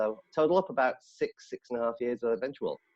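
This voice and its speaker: This is a man talking. His accent is northern English. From northern England. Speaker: head of sales. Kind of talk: casual chat.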